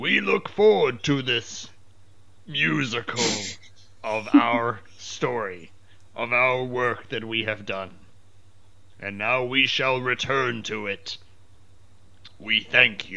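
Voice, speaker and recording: A put-on character voice, raspy and solemn in tone, moves at a very slow pace with long, frequent pauses over light background noise. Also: man, medium pitch for a man. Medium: actual play. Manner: slow, formal and solemn.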